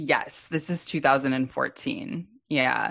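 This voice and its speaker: A woman speaks at a fairly slow pace with an American accent and some vocal fry. The background is quiet. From US West Coast, West Los Angeles. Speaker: dating app co-founder. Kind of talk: interview. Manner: halting.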